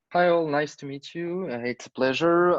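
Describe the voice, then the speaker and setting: A man with a French accent speaks at a moderate pace with ordinary pitch variation. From France. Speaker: startup representative presenting product. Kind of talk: product pitch.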